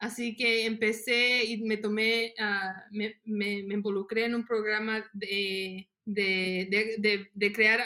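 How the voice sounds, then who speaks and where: A woman's bright, sharp voice sits at a fairly high pitch and stays monotone, with flat intonation. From Mexico, Guanajuato, raised in US. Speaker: nonprofit worker for farmers. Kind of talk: interview.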